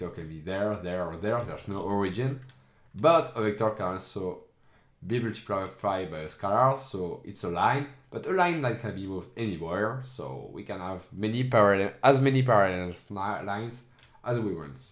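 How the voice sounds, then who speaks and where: A man at a moderate pace, with lively intonation, big swings in loudness and audible room echo. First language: not English. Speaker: educational streamer. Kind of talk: tutorial. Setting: screen recording. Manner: halting.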